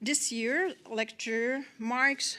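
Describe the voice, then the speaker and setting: A woman speaks with a Quebec accent in a fairly high pitch. Her tone is bright and sharp, with ordinary pitch variation. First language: French. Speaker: government official. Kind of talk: formal welcome speech. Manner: formal; halting.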